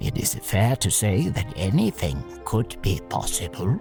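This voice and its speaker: Clear music plays in the background. Over it, a put-on character voice speaks at a fairly slow pace. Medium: audio drama. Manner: dry, formal, precise.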